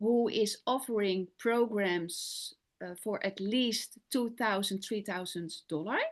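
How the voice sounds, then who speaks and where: A woman with a Dutch accent and ordinary pitch variation, against a quiet background. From Netherlands. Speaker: business coach and sales closer. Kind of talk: interview. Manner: halting.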